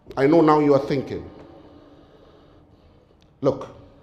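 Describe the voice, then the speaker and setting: A man speaks fairly slowly in a solemn tone, his pitch fairly high. His intonation stays monotone and flat. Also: long, frequent pauses. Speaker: Islamic lecturer. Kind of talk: Islamic sermon / lecture on death. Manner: earnest, solemn, rhetorical.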